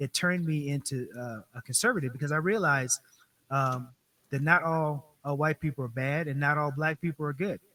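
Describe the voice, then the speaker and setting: A man speaks with an American accent at a fairly high pitch, his tone bright and sharp. His pitch varies in an ordinary way at a fairly quick pace, and the sound is dry and close with no echo. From Colorado, Denver. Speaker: political candidate and military veteran. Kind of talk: interview.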